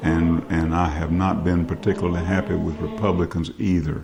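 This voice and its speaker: Over noticeable background noise, a man with a very deep, low voice speaks at a moderate pace. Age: 60s. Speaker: political video blogger. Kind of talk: political commentary monologue.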